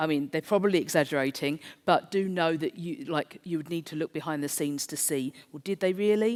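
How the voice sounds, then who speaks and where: A woman speaks with a South East London accent and a very deep, low pitch. The sound is dry and close, with no echo. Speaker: conference speaker. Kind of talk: presentation.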